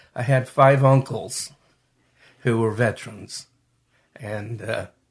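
A man's somewhat breathy voice with an American accent, at a very slow pace against a quiet background. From Utah, Salt Lake area. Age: 70s. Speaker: Vietnam war veteran. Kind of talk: interview testimony. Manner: halting, many fillers.

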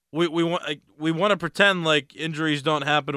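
A man with an American accent speaks in a normal speaking voice, fairly high-pitched and at a fairly quick pace. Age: 20s. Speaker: sports podcast host. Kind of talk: solo sports commentary. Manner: casual, conversational with fillers.

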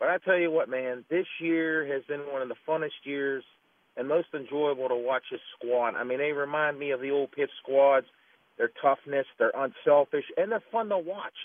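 A man with a normal speaking voice, fairly high in pitch, talks at a moderate pace with ordinary pitch variation. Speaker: caller. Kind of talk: casual call-in comment. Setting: phone call.

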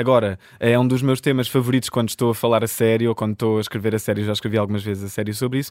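A man at a medium pitch rushes along at a very fast pace with hardly any pauses. His intonation stays monotone and flat. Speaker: author. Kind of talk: interview.

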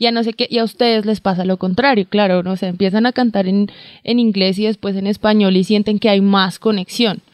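In a dry, close sound with no echo and a quiet background, a woman with a plain, everyday voice talks at a moderate pace and with fairly even intonation. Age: 20s. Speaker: podcast host. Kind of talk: casual interview. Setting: in a car.

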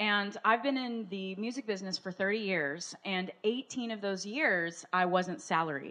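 A woman with a plain, everyday voice speaks at medium pitch and a fairly slow pace, with ordinary pitch variation and hardly any pauses. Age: 40s. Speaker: musician and speaker. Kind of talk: testimony. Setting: studio with audience.

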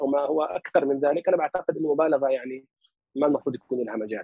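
A man talking at a very fast pace. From Palestinian family in Lebanon. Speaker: researcher and analyst on Turkish affairs. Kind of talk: interview, conversational.

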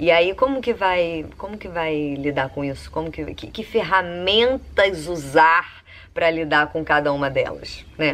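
In an ordinary speaking voice, a woman with a fairly low pitch and lively intonation talks at a fairly slow pace with hardly any pauses and big swings in loudness, in a very clean recording with a silent background. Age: 30s. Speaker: columnist. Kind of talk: personal monologue. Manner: casual, conversational.

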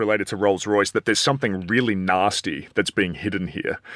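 In an Australian accent, a man talks at a fairly quick pace, the sound dry and close with no echo. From Australia, Adelaide. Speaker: politics professor. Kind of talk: panel discussion. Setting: studio.

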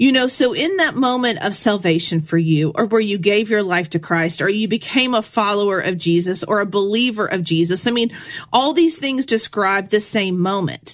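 A woman with a normal speaking voice, hardly any pauses and very even loudness. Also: medium pitch for a woman, lively intonation, moderate pace. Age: 40s. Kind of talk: devotional teaching monologue. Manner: casual, conversational with filler words.

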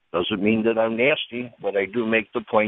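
Speaking at a moderate pace, the man has a normal speaking voice at a medium pitch. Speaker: caller. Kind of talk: phone-in call. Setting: phone call. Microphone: cell phone.

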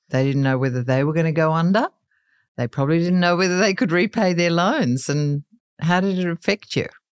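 With an Australian accent, a woman with a fairly low pitch talks at a fairly quick pace with ordinary pitch variation and very even loudness, dry and close with no echo in a very clean recording with a silent background. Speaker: podcast host. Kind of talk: interview.

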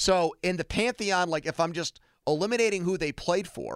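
At a moderate pace, the speech comes through on a very clean recording with a silent background. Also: man. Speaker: radio sports talk host. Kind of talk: casual sports talk debate. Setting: radio studio.

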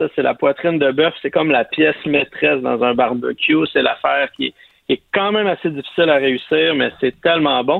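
Speaking at a moderate pace, a man keeps his loudness very even throughout. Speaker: barbecue columnist. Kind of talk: casual chat.

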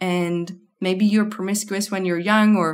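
A woman in a non-native accent talks at a fairly slow pace, at medium pitch with fairly even intonation. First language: not English. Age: 30s. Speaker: sex and birth coach. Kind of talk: interview.

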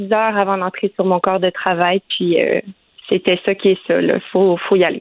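A woman with a Quebec accent at a fairly slow pace. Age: 20s. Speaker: nurse. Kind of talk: interview.

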